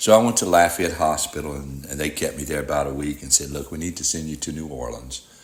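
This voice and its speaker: A man with a very deep, low voice talks at a very fast pace with hardly any pauses, ordinary pitch variation and big swings in loudness. Noticeable background noise sits behind him. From Louisiana (Rayne, Cajun country). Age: 60s. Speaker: heart transplant recipient. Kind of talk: testimony.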